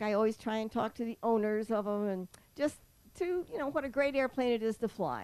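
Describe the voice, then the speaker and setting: The voice has a dark, mellow tone and ordinary pitch variation. Its pace is fairly quick. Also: woman. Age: 80s+. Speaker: pilot. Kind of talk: interview.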